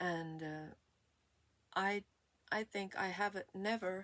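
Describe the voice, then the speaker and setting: Speaking very slowly with a Swedish accent, a woman uses ordinary pitch variation. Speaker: vlogger. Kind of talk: personal testimony. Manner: halting.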